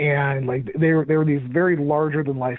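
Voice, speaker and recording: A man speaks at a moderate pace with a fairly high pitch and fairly even intonation over noticeable background noise. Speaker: audio drama podcast host, interview guest.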